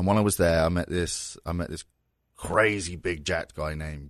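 Over a quiet background, a man with a southern English accent talks in a very deep, low pitch with fairly even intonation. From southern England (Surrey, near London). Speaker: pro wrestling figure. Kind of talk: casual chat. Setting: studio.

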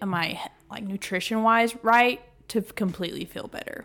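The recording is very clean, with a silent background. The speaker has a Texan accent and ordinary pitch variation. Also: woman. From northeast Texas. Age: 20s. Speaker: paralegal, gym member. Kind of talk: interview. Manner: casual, filler-heavy.

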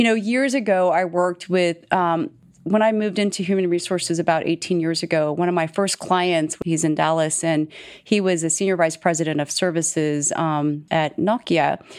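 A woman speaks in a normal speaking voice, keeping a moderate pace and ordinary pitch variation. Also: fairly low pitch for a woman. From Texas. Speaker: chief people officer. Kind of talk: interview.

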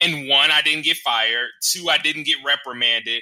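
In a very clean recording with a silent background, a man with an ordinary speaking voice talks at a fairly high pitch with ordinary pitch variation. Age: 30s. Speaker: social worker and consultant. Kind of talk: panel discussion.

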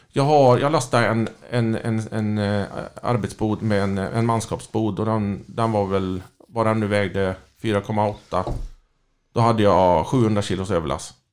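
In a very clean recording with a silent background, a man speaks at a fairly slow pace with a fairly low pitch and ordinary pitch variation. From Skaraborg, Sweden (Lidköping). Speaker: crane truck driver. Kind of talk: casual chat.

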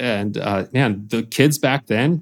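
With an American accent, a man talks at a fairly slow pace in a fairly low pitch and an unremarkable speaking voice, recorded very cleanly against a silent background. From Lithuania, moved to US as a child. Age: 30s. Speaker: professional drift racer and business owner. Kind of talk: casual interview. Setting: studio, video recorded.

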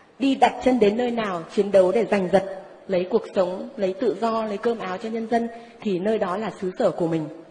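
A woman talks at a moderate speed with a medium pitch. Her pitch varies in an ordinary way, and noticeable background noise is present. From northern Vietnam, Ninh Binh. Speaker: psychic. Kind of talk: testimony. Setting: stage with audience.

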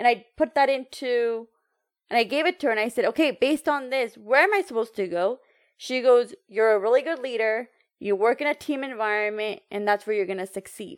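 Speaking at a fairly quick pace with lively intonation, a woman with an American accent has a high voice, heard on a very clean recording with a silent background and a dry, close sound with no echo. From United States, Indian heritage. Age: 30s. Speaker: entrepreneur and empowerment coach. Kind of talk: casual interview chat.

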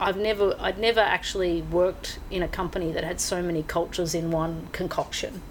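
Noticeable background noise sits under a woman with an Australian accent who talks at a fairly quick pace with hardly any pauses, using a medium pitch and fairly even intonation. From Australia, rural Victoria. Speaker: live entertainment executive. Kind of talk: interview. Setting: book and music shop.

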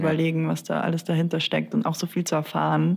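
Speaking at a fairly quick pace, a woman delivers the line. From South Tyrol. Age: 20s. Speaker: podcast host, psychology researcher. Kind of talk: casual chat.

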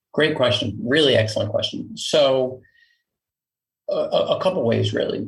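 With a New York accent, a man talks at a moderate pace, leaving long, frequent pauses. His loudness stays very even. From Queens, New York. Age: 40s. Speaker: company founder and CEO. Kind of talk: casual interview.

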